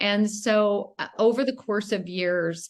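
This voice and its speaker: A woman's unremarkable speaking voice at a fairly slow pace with fairly even intonation. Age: 50s. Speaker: wellness advocate. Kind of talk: panel discussion.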